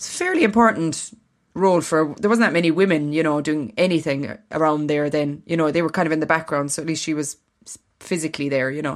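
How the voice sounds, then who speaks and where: This woman has a very deep, low voice with ordinary pitch variation. She talks at a very fast pace. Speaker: podcast co-host. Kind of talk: casual chat.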